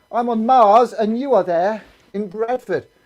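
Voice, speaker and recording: A man speaks loudly in a high pitch. His tone is animated. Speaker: assembly presenter for schools. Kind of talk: live streamed school assembly. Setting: video call.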